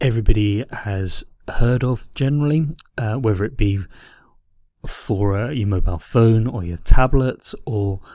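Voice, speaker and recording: On a very clean recording with a silent background, a man speaks with a fairly low pitch. His tone is dark and mellow, and somewhat breathy. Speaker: teacher. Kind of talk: lecture. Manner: halting.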